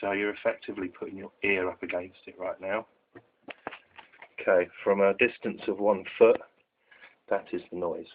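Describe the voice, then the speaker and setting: A man speaks quietly at a moderate pace, with long, frequent pauses and big swings in loudness. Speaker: tech product reviewer. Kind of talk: product demo. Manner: very quiet.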